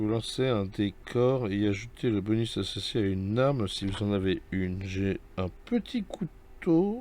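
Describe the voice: A man's voice carries a dark, mellow tone. He moves at a fairly slow pace with lively intonation.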